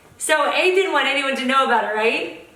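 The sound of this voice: A woman speaks with a high pitch and a bright, sharp tone amid strong room echo.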